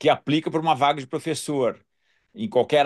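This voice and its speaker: With an unremarkable speaking voice, a man talks at a fairly quick pace in a fairly high pitch over a quiet background. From southern Brazil, Porto Alegre. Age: 60s. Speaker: dental surgeon and professor. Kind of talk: casual interview chat.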